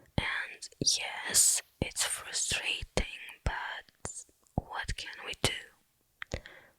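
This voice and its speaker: A woman whispers in a gentle tone. Her pace is very slow. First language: not English. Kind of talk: ASMR Q&A talking to camera. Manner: gentle, soft-spoken, whispered.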